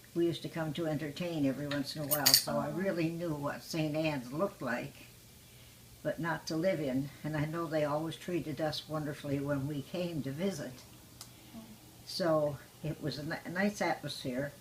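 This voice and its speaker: Her pitch is very deep and low for a woman. She keeps a moderate pace and fairly even intonation. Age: 90s. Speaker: retirement home resident. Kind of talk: interview.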